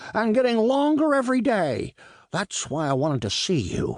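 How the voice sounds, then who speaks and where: A put-on character voice swings very widely in pitch at a moderate pace over a quiet background. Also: man, high pitch for a man. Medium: read story. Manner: excitable, fretful.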